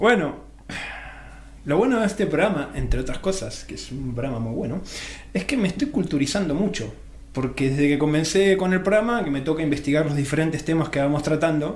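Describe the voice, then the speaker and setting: With audible room echo, a man in a fairly high voice speaks at a fairly quick pace with lively intonation. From Argentina. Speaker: radio host. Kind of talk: radio interview.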